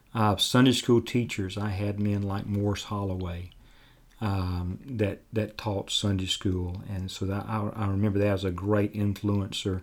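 A man speaks at a fairly slow pace with a fairly low pitch and a monotone, flat intonation. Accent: Alabama. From US South, Dothan, Alabama. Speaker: pastor. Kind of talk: interview. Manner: halting, many fillers.

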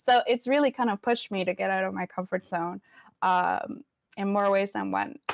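The sound is dry and close, with no echo. The speech moves at a moderate pace with ordinary pitch variation. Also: woman, medium pitch for a woman. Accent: Spanish. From Venezuela. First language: Spanish. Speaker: community advocate and film producer. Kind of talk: casual interview. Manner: casual, hesitant, fillers.

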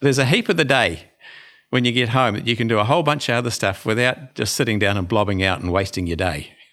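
A man's medium-pitched voice with a New Zealand accent, very fast and lively, bright and sharp in tone, on a very clean recording with a silent background. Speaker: dentist. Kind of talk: interview.

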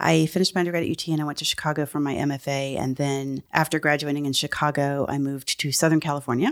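A woman with an American accent talks at a very fast pace in a very deep, low, monotone voice with hardly any pauses. The recording is very clean, with a silent background. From Texas, San Antonio. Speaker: art professor. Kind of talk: interview. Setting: office.

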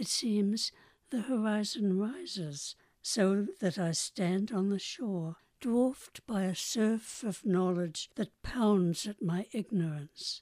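A woman speaks very slowly in a New Zealand accent, her pitch medium with ordinary variation. The sound is dry and close, with no echo. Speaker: poet. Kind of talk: poetry reading.

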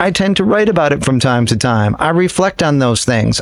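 With an American accent, a man using an unremarkable speaking voice talks at a moderate pace with lively intonation. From upstate New York. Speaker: guitarist in a jam band. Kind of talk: casual interview.

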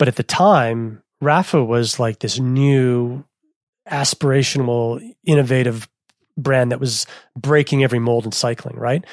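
A man with a Canadian accent speaks at a fairly slow pace in a normal speaking voice. His pitch is medium and his intonation fairly even. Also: dry, close sound with no echo. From Canada, Manitoba. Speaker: cycling media founder. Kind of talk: interview.

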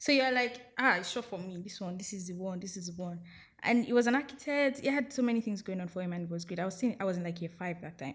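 Somewhat breathy, a woman with a Nigerian accent speaks at a medium pitch and fairly quick pace with ordinary pitch variation, on a very clean recording with a silent background. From Nigeria, outside Lagos. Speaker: podcast guest. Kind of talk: casual chat.

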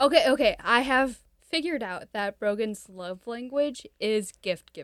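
In an ordinary speaking voice, a woman talks at a fairly slow pace with lively intonation and a fairly high pitch, the sound dry and close with no echo. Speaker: podcast host. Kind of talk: casual chat.

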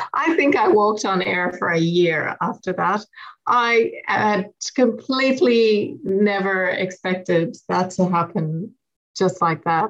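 With a western Irish accent, a woman talks at a fairly slow pace in a medium pitch, her pitch varying in an ordinary way. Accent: Irish, west of Ireland lilt. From west of Ireland. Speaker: poet. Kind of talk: poetry reading and interview.

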